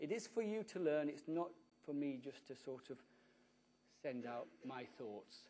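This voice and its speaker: Pausing often and at length, a man with a British accent speaks at a fairly high pitch, with lively intonation and a dark, mellow tone. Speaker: conference speaker. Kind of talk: conference talk. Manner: fast.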